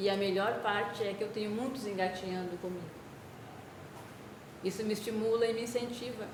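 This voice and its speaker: A soft-spoken woman talks at a fairly quick pace with fairly even intonation and long, frequent pauses, with audible room echo and noticeable background noise. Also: medium pitch for a woman. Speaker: spiritist lecturer. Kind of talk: spiritual talk. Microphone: poor speaker output, hard to hear.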